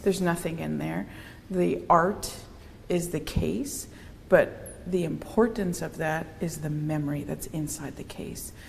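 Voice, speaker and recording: A woman speaks at a fairly slow pace with big swings in loudness, her voice carrying audible room echo. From Cape Breton, Nova Scotia (Mi'kmaq First Nation community). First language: Mi'kmaq. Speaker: artist. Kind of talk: interview conversation. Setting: online live-streamed talk.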